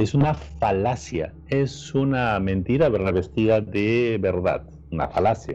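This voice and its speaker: Over background music, a man with a Peruvian accent speaks at a very deep, low pitch. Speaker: podcast co-host. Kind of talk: casual chat.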